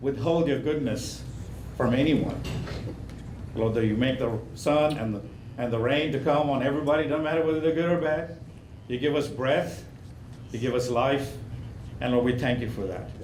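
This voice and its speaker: Long, frequent pauses amid noticeable background noise and audible room echo. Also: man. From India. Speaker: pastor. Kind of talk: invocation and short sermon. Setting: county commission meeting.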